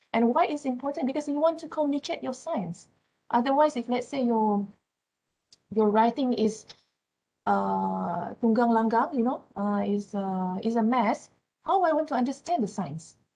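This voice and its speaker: A woman's fairly high voice with a dark, mellow tone, lively intonation and a Malaysian accent, at a moderate pace. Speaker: university lecturer. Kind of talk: lecture. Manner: halting.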